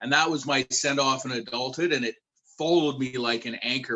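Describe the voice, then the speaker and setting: A man's fairly quick, flat, monotone delivery at a medium pitch, with a Canadian accent. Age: 40s. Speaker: youth worker. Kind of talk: panel discussion.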